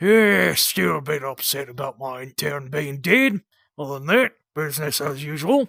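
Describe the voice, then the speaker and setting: In a put-on character voice, the speaker sounds raspy and uses lively intonation. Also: man, fairly high pitch for a man, moderate pace. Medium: audio drama. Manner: gruff, offhand.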